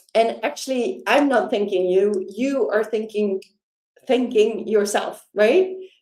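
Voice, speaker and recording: Speaking very slowly with a Dutch accent, a woman uses a fairly high pitch and a dark, mellow tone. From Netherlands. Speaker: life coach. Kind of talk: sales pitch. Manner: warm, enthusiastic.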